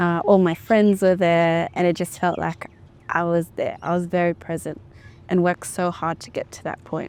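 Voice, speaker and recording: A woman with an Australian accent, fairly low in pitch, monotone and flat, at a moderate pace. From Australia (Melbourne), Ethiopian family. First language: Amharic. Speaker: sound artist and vocalist. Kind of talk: casual interview chat. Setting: music venue.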